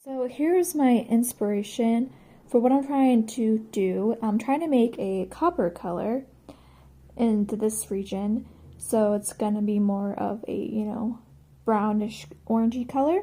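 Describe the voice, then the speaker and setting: Somewhat breathy with a dark, mellow tone, a woman talks at a fairly slow pace. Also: fairly high pitch for a woman, ordinary pitch variation. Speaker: yarn dyer and video host. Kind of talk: tutorial. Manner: casual, hesitant with frequent ums.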